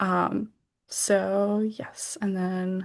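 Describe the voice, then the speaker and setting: Over a quiet background, a woman with a medium pitch speaks with an American accent. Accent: American accent in Georgian words. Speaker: literary magazine editor. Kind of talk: event presentation. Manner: hesitant, many fillers.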